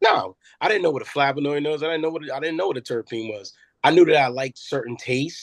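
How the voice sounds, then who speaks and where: A man with an American accent speaks at a fairly quick pace and ordinary pitch variation, the sound dry and close with no echo. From Brooklyn, New York, then New Jersey. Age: 40s. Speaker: former prisoner turned cannabis cultivator. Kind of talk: podcast interview. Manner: halting, many repetitions and fillers.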